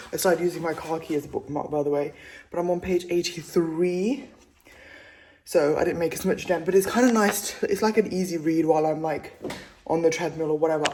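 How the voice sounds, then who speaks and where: Over noticeable background noise, a woman with a fairly low pitch speaks at a fairly quick pace with ordinary pitch variation. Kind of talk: casual vlog talk to camera. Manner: chatty.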